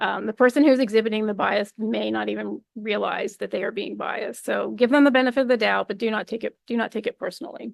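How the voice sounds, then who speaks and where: Recorded with a dry, close sound with no echo, a woman speaks at a very fast pace with hardly any pauses. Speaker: invited speaker, researcher. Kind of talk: lecture.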